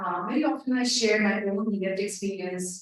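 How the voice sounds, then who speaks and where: Audible room echo rings around the voice of a woman as she talks. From India. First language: an Indian language. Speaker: family navigator. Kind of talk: panel talk. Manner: halting, many fillers.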